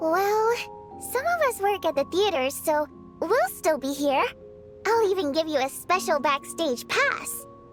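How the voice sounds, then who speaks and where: Over clear background music, a woman puts on a character voice with an extremely high pitch and talks at a moderate pace. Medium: fan dub. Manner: lively, expressive.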